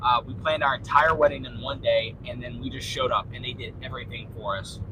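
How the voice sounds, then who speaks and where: Speaking very fast, a man swings widely in loudness while noticeable background noise plays around him. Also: medium pitch for a man, ordinary pitch variation. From Louisiana. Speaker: livestreamer. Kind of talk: casual live chat reading viewer comments. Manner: animated.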